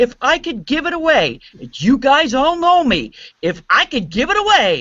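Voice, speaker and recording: A woman speaks at a fairly slow pace in a high voice, her pitch swinging very widely. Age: 60s. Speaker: radio music director. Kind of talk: panel discussion. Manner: animated.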